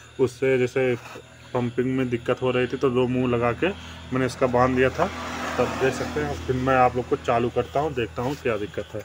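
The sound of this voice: A man with a medium-pitched voice speaks at a fairly quick pace with little pitch movement. Faint background noise can be heard.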